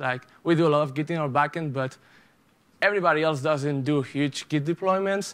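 Ordinary pitch variation shapes speech that goes along at a fairly quick pace. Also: man. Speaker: conference speaker. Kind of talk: conference talk. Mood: joking, self-deprecating. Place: hall.

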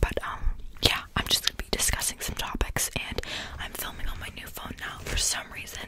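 The voice is whispering. It moves at a fairly quick pace. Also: woman. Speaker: ASMR YouTuber. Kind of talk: casual vlog chat. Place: home room. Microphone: studio mic.

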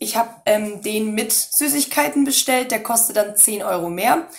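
Her fairly high, somewhat breathy voice carries lively intonation as this woman speaks. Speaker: cosplay youtuber. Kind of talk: product review. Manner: hesitant, many fillers.

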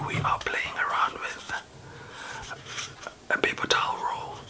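A man is whispering. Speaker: ASMR creator. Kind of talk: ASMR greeting to camera. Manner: soft, relaxing. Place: home room.

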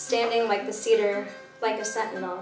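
A woman's medium-pitched voice with clear music in the background. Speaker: poet performer. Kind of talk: poetry reading. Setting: live venue with music backing. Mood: measured, lyrical. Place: stage.

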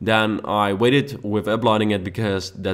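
A man with a Dutch accent speaks in a fairly low voice. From Netherlands. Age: young. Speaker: YouTube gaming creator. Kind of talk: gameplay commentary. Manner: casual with many fillers.

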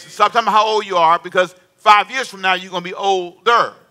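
A man's raised, projected voice, high-pitched and animated, at a very fast pace. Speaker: preacher. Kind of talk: sermon. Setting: church with congregation. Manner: animated call-and-response preaching, prompting the congregation to answer; emphatic, repeating key phrases. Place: church. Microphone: headset.

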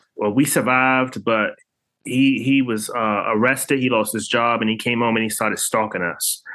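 An unremarkable speaking voice belongs to a man with an American accent who talks at a moderate pace, medium pitch, and fairly even intonation. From Washington, D.C. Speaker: artist and author. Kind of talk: interview.

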